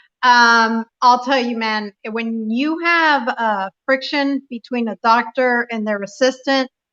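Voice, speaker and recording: A woman with a Spanish accent speaks at a very slow pace with hardly any pauses, in a dry, close sound with no echo. Her voice is high-pitched with a bright, sharp tone and fairly even intonation. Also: quiet background. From Puerto Rico. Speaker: radio talk show host. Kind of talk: live radio interview. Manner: frequent fillers, um.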